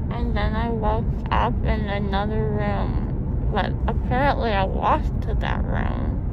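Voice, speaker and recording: A woman speaks in a dry sound with no echo over loud background noise. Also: fairly slow pace. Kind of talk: casual vlog chat. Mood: groggy, sedated, silly. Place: car. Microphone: phone near.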